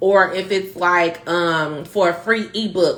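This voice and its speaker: A woman speaks at a medium pitch. Her tone is animated. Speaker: marketing consultant, live stream host. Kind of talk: instagram live tutorial. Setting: instagram live stream. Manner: fast.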